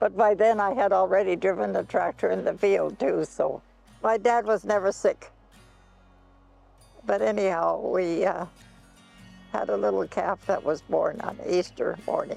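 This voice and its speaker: With music in the background, a woman speaks with a Canadian Prairie accent at a moderate pace, leaving long, frequent pauses. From Canadian Prairies, Alberta. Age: 90s. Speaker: pioneer farm woman interviewee. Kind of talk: storytelling interview.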